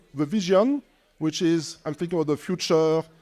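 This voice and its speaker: A man with a non-native accent at a moderate pace, high in pitch and dark and mellow in tone, his intonation lively, on a very clean recording with a silent background. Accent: non-native English accent, noticeable. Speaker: tech company executive. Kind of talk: panel discussion.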